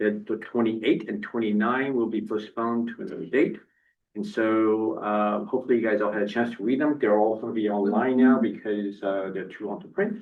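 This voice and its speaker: A man talks at a fairly quick pace in a medium pitch with fairly even intonation. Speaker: board chair. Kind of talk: public meeting. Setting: meeting room with audience. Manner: soft-spoken.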